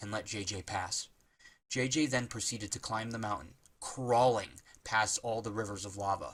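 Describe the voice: The intonation holds fairly even. It is a plain reading aloud.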